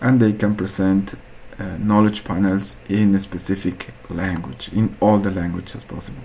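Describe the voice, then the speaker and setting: Against noticeable background noise, a man with an Andean accent talks at a moderate pace in a fairly low pitch with fairly even intonation. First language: Quechua. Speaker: researcher presenting a hackathon project. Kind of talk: project presentation. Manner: halting, with frequent fillers.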